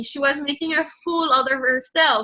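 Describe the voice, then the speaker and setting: In a French accent, a woman talks at a moderate pace with a high-pitched voice. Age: 20s. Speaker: language tutor. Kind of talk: online language lesson. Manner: halting.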